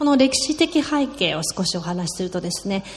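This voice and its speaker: Noticeable background noise sits behind a woman whose pitch swings very widely. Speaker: sermon interpreter. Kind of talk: sermon. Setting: church with congregation.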